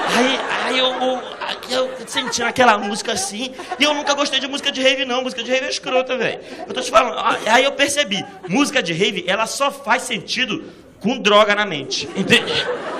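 An extremely high-pitched man's raised, projected voice, animated in tone, with ordinary pitch variation at a moderate pace, amid noticeable background noise and audible room echo. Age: 30s. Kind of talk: stand-up.

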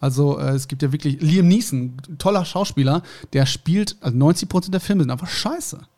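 A man speaks at a moderate pace in a fairly high pitch with ordinary pitch variation. His tone is dark and mellow, and somewhat breathy. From Germany. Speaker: podcast co-host. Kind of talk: casual chat.

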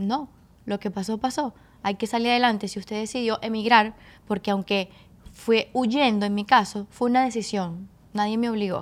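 A woman's normal speaking voice, fairly high in pitch, with fairly even intonation at a moderate pace, in a very clean recording with a silent background. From Caracas, Venezuela (Petare). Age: 20s. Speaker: strength coach. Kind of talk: casual interview. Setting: studio.

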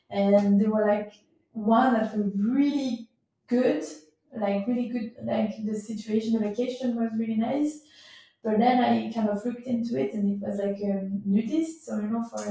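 A woman talks at a moderate pace in a fairly high pitch with ordinary pitch variation. Her tone is dark and mellow and somewhat breathy. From Switzerland, Gruyère region. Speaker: cyclist and traveller. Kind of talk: casual interview chat. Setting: in person recording. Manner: halting, many fillers. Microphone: poor sound quality.

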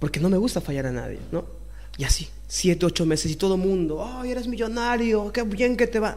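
Noticeable background noise sits under speech that runs at a fairly quick pace with lively intonation. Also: man, high pitch for a man. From Peru (Lima, Puente Piedra). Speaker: singer-songwriter, chef and restaurant owner. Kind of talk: casual interview, life story.

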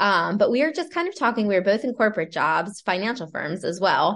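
A plain, everyday voice from a woman with an American accent, medium-pitched and fairly quick, against a quiet background. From Pennsylvania, Lancaster County. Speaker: entrepreneur and real estate agent. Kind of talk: casual interview.

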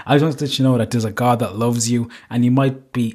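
This man speaks very fast with a Cork accent. His medium-pitched voice has a monotone, flat intonation. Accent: Cork Irish. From Ireland, Cork. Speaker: podcast host. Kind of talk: casual monologue.

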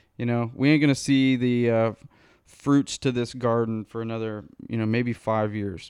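A man with a plain, everyday voice speaks at a moderate pace, with a medium pitch and fairly even intonation, in a dry, close sound with no echo and a quiet background. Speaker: podcast host. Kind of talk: casual chat. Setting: studio.

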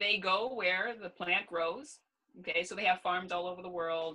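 In a Canadian accent, a woman speaks with fairly low pitch and ordinary pitch variation. She has an ordinary speaking voice. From Canada, Ontario. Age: 30s. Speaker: gerontologist. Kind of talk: casual interview.

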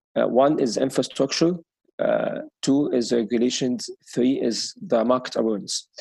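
Moderate-paced speech in an Arabic accent. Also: man. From Egypt. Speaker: sustainable mobility expert. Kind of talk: interview. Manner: hesitant, many fillers.

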